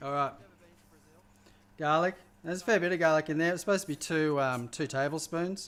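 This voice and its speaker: A man with an Australian accent talks at a fairly quick pace and a fairly high pitch, with ordinary pitch variation. He takes long, frequent pauses, and the recording is very clean with a silent background. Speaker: chef. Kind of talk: live cooking stream chat. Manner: casual, halting with fillers.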